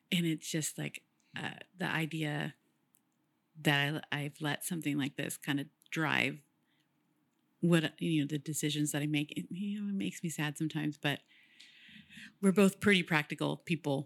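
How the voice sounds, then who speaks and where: Moderate pace with long, frequent pauses, vocal fry and ordinary pitch variation, in an American accent, on a dry, close, echo-free and very clean recording with a silent background. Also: woman, very deep, low pitch for a woman. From Woodland, California. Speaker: graphic designer. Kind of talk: casual interview chat.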